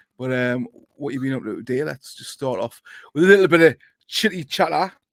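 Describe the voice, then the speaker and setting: Dry and close with no echo, a man with a Geordie accent speaks at a fairly high pitch. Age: middle-aged. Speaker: football podcast host. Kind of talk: casual chat.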